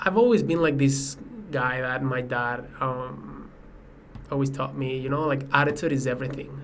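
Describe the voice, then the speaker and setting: Amid noticeable background noise and audible room echo, a man with a Spanish accent talks at a moderate pace with fairly even intonation. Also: medium pitch for a man. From Mexico, Mexico City. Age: 20s. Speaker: professional soccer player. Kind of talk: podcast interview.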